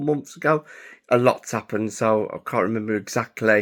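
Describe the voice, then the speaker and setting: A man's medium-pitched voice at a moderate pace, fairly even in intonation, on a very clean recording with a silent background. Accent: English. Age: 30s. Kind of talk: casual vlog monologue. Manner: halting, with many fillers.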